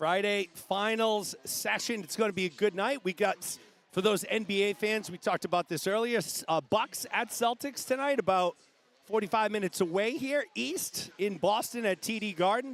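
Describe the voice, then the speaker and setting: A loud, high-pitched male voice with ordinary pitch variation and a dry, close sound with no echo. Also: moderate pace. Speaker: swim meet livestream commentator. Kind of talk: live commentary. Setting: livestream from swimming venue. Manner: animated.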